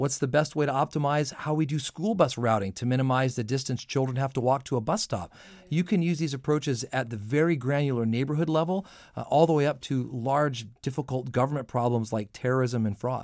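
A man with a normal speaking voice and an American accent, medium pitch, ordinary pitch variation and a fairly quick pace, in a very clean recording with a silent background. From US Southwest (southern New Mexico). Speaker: analytics industry director, former government official. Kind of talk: radio interview.

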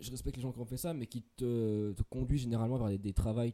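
At a fairly quick pace, the speech comes in a dark, mellow tone. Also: man. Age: 20s. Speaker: podcast co-host. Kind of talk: casual chat. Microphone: too close to the mic.

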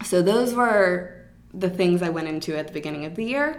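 An unremarkable speaking voice from a woman with an American accent, medium in pitch, moderate in pace, with lively intonation. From Atlanta, US South. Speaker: podcast co-host and yoga festival organizer. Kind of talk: casual chat between co-hosts.

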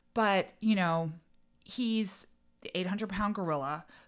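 A woman's ordinary speaking voice in an American accent, with lively intonation and a fairly slow pace, in a very clean recording with a silent background. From New England, suburban Boston. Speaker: political communications strategist. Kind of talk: interview.

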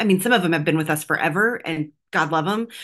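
Over a quiet background, a woman with an American accent and an ordinary speaking voice talks in a fairly low pitch with ordinary pitch variation. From Texas, US. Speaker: political strategist and activist. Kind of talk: interview.

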